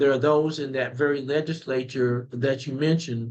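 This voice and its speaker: With a Southern US accent, a man talks at a moderate pace in a fairly high voice. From rural southeastern North Carolina. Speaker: political candidate. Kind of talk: interview. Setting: remote call.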